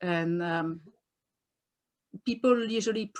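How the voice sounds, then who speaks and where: On a very clean recording with a silent background, a woman speaks at a medium pitch in a French accent. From France. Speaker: doula and author. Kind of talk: interview. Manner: animated.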